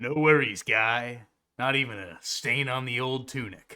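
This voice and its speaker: A man puts on a character voice at medium pitch. He keeps a moderate pace. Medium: actual play. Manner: relaxed, casual.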